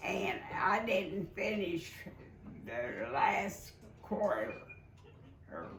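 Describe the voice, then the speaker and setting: A woman's speech broken by long, frequent pauses, with noticeable background noise. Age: 80s+. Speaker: retired oil and gas office worker. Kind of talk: interview answer. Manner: halting, hesitant.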